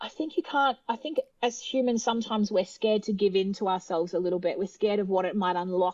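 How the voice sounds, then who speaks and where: In an Australian accent, a woman speaks at a very fast pace with hardly any pauses, her medium-pitched voice showing ordinary pitch variation. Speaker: opera singer. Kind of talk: interview.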